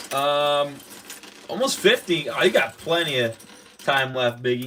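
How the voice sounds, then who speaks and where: Against noticeable background noise, the speaker talks at a fairly slow pace in an animated tone. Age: 20s. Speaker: LEGO livestreamer. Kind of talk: live stream chat while building. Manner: casual, animated.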